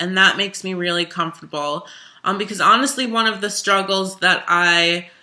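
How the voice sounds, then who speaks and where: A woman talks in a plain, everyday voice at a medium pitch. Her pace is moderate and her pitch variation ordinary. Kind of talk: casual interview-style talk to camera.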